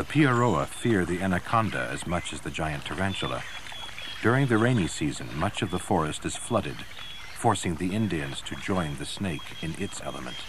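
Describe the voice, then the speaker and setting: Over noticeable background noise, a man with a very deep, low voice speaks at a moderate pace in a dramatic tone, his pitch swinging very widely. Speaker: documentary narrator. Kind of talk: nature documentary narration, scripted voice-over. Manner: dramatic, measured, ominous and gravely authoritative; steady, polished, formal.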